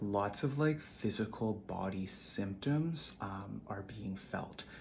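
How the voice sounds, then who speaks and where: A man speaks at a fairly low pitch, somewhat breathy, with ordinary pitch variation. Audible room echo surrounds the voice. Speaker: spiritual content creator. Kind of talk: casual spiritual monologue.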